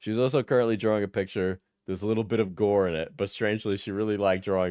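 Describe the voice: Against a quiet background, someone reads aloud plainly with fairly even intonation.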